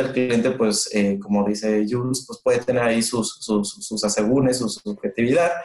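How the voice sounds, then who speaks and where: A man's plain, everyday voice with ordinary pitch variation at a fairly slow pace. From northern Mexico, Monterrey. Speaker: customer experience manager. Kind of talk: interview.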